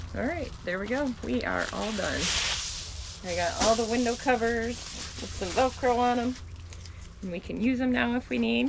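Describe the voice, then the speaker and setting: A soft-spoken woman talks at a moderate pace with long, frequent pauses. Noticeable background noise runs under her voice. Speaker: vlogger living off-grid in a camper. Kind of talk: casual vlog talk to camera.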